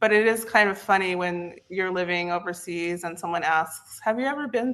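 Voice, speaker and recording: A woman with an American accent and an unremarkable speaking voice talks at a moderate pace with ordinary pitch variation. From US East Coast, West Virginia. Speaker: content repurposing specialist. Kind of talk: interview.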